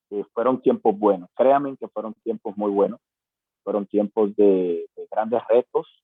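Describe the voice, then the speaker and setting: Speaking at a fairly slow pace, a man shows big swings in loudness. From Panama. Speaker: pastor. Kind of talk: testimony. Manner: halting, many fillers.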